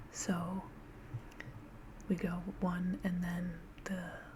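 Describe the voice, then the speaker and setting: Someone soft-spoken is talking. Noticeable background noise runs beneath the voice. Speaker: astrology explainer. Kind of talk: ASMR tutorial.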